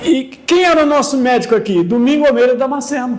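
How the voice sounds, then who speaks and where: Over noticeable background noise, a man talks at a very fast pace in an extremely high pitch, with ordinary pitch variation. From São Paulo, Brazil. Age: 70s. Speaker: local elder interviewee, former notary. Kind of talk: documentary interview. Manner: repetitive filler-heavy, frequent 'entendeu?'.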